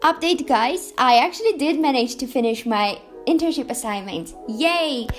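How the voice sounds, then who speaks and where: With music in the background, a woman speaks in an upbeat tone at a high pitch, her pitch swinging very widely. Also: moderate pace. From Armenia. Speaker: incoming university student. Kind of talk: vlog talk to camera.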